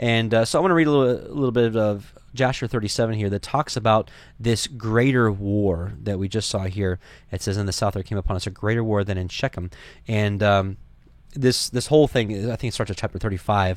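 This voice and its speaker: The recording is very clean, with a silent background. A man speaks with a fairly low pitch and ordinary pitch variation. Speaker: Bible study teacher, podcast host. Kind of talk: Bible study lecture. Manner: fast talker.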